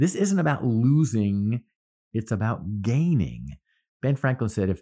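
A man with an American accent has a dark, mellow tone. His pitch swings very widely, on a very clean recording with a silent background. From US Northeast, central New Jersey. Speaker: podcast host, workplace speaker. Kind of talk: solo podcast monologue.

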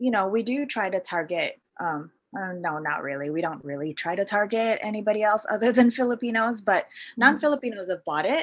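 A woman with an unremarkable speaking voice talks at a fairly high pitch and a fairly quick pace on a very clean recording with a silent background. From Canada, Vancouver. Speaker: fashion entrepreneur. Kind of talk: casual interview.

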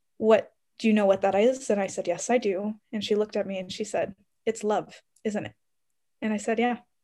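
A woman in a Canadian accent, fairly high-pitched, with a dark, mellow tone, monotone, flat intonation, a fairly quick pace and long, frequent pauses, on a very clean recording with a silent background. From Canada, Ontario. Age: 20s. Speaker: medical researcher and medical student. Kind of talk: interview.

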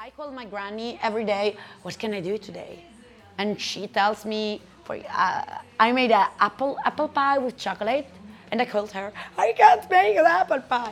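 A woman speaks at a fairly high pitch in an Italian accent, with ordinary pitch variation. Her pace is moderate, and her loudness swings widely. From Italy, Perugia. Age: 20s. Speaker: restaurant owner. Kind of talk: casual interview.

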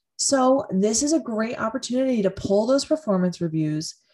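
A woman's fairly high, dark, mellow and somewhat breathy voice at a moderate pace, with very wide pitch swings, over a quiet background. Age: 30s. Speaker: podcast host and career coach. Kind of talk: solo podcast monologue.

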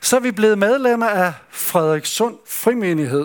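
Lively intonation marks a man's very slow speech. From Denmark, West Jutland (Skjern). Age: 70s. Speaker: retired pastor, camp speaker. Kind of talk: sermon. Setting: summer camp meeting with audience. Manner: hesitant, with fillers.

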